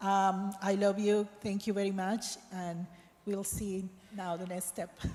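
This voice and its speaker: A woman with a Spanish accent speaks at a medium pitch in a monotone, flat intonation over noticeable background noise. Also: fairly slow pace. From Colombia. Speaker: missionary. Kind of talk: speech to congregation. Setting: church.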